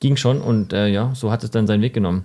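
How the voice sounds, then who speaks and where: This man talks at a very fast pace in a fairly low pitch with a dark, mellow tone. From Stuttgart area, Germany. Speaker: entrepreneur and podcast co-host. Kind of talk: casual chat.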